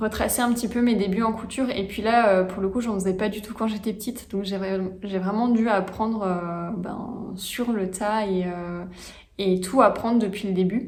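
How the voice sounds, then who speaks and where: Audible room echo accompanies a woman speaking at a moderate pace and medium pitch with fairly even intonation. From France, Franche-Comté. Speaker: knitting and sewing hobby vlogger. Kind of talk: casual vlog monologue. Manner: hesitant, many fillers.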